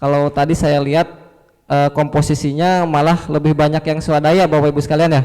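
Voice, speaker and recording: With a Sundanese accent, a man speaks at a fairly high pitch in a dark, mellow tone. His delivery is fairly quick, with monotone, flat intonation and very even loudness. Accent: Sundanese accent, audible. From West Java (Sukabumi, Sundanese). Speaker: fisheries extension officer, presenter. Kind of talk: workshop presentation.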